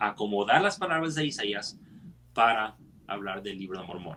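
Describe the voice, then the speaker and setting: Lively intonation marks a man's moderately paced speech in a bright, sharp tone. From United States. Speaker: scripture study teacher. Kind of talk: scripture study discussion. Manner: halting, frequent self-corrections.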